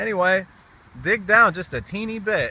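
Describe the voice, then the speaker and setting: Amid noticeable background noise, a man with an American accent talks loudly. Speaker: gardener and video blogger. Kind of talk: casual outdoor vlog tutorial. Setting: outdoors in a community garden. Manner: casual, halting with fillers.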